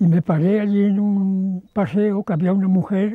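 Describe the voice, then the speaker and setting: At a high pitch, a man speaks with a dark, mellow tone and a dry, close sound with no echo. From Aragon, Spain (Huesca, Alto Aragón). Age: 90s. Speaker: retired itinerant photographer. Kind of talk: testimony.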